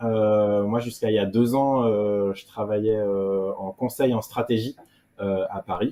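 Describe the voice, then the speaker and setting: This man has a fairly low pitch. He talks at a fairly slow pace with fairly even intonation. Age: 30s. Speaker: offshore sailor. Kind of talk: interview. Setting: video call from home. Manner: hesitant, many fillers.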